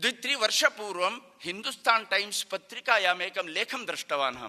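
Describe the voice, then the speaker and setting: In a Konkani accent, a man speaks at a high pitch with lively intonation. His voice is raised and projected. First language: Konkani (speaking Hindi). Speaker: Sanskrit activist speaker. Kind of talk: public speech. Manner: formal.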